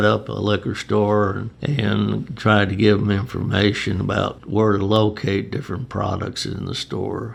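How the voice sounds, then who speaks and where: With an American accent, a man speaks at a moderate pace with hardly any pauses, his fairly low voice held to fairly even intonation against noticeable background noise. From Chicago. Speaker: retired beer distributor. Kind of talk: oral history interview answer.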